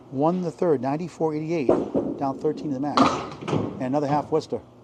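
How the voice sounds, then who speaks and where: A man with a fairly high pitch and ordinary pitch variation speaks over noticeable background noise. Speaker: bowling commentator. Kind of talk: live commentary. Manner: animated.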